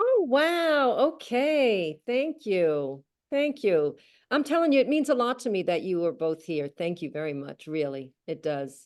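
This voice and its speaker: Over a quiet background, a speaker with an American accent talks at a fairly slow pace, the pitch swinging very widely. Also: woman, fairly high pitch for a woman. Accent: New York accent, calmed down. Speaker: author. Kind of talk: casual chat. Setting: video call.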